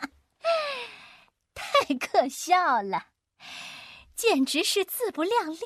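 A shrill put-on character voice moves at a fairly slow pace with very wide pitch swings. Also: woman. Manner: mocking.

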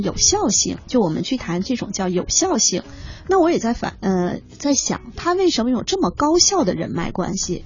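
Noticeable background noise surrounds a woman whose pitch swings very widely. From China, outside Beijing. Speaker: human resources consultant. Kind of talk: radio interview. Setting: radio studio.

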